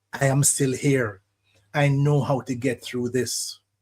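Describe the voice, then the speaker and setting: A man's somewhat breathy voice, fairly high in pitch and fairly slow, on a very clean recording with a silent background. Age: 70s. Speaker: radio host, psychologist. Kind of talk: radio monologue, reflective talk. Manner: measured, reflective.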